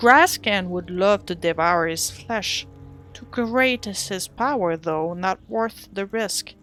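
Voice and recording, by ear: A natural voice, reading aloud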